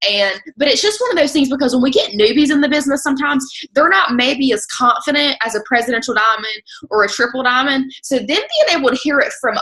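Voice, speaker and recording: An animated, raised and projected female voice, high in pitch, at a fairly quick pace with ordinary pitch variation. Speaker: network marketing team leader. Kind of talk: group video call presentation. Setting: video call.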